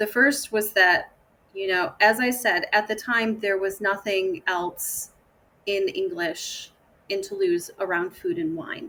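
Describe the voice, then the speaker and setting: With an American accent, a woman speaks at a medium pitch and a fairly slow pace. Her tone is bright and sharp, with ordinary pitch variation. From Michigan, USA. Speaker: food tour company founder. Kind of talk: podcast interview answer.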